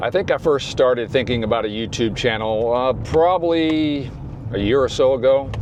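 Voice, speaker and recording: Speaking with an American accent at a medium pitch, a man keeps a moderate pace, very even loudness and ordinary pitch variation against noticeable background noise. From US South. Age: 60s. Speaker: YouTuber. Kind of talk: vlog. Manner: casual.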